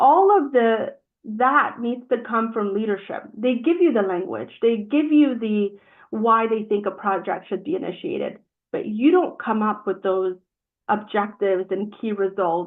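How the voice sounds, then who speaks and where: This woman has an unremarkable speaking voice with a fairly high pitch. She talks fairly slowly with lively intonation. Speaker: project management trainer. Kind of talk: webinar presentation. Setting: live-streamed webinar.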